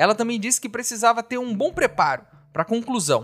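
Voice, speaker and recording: The man's pitch is high. He speaks at a fairly quick pace. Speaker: podcast host. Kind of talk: casual solo commentary.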